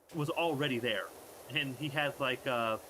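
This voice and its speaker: A man speaks at a moderate pace with ordinary pitch variation, and noticeable background noise can be heard. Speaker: streamer. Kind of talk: casual chat. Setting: live stream.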